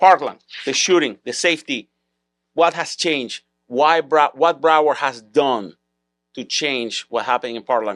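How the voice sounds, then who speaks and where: A man at a moderate pace with long, frequent pauses and ordinary pitch variation, on a very clean recording with a silent background and a dry, close sound with no echo. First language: Spanish or Hebrew. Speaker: podcast host, school security business owner. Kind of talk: interview. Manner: halting, repeats words.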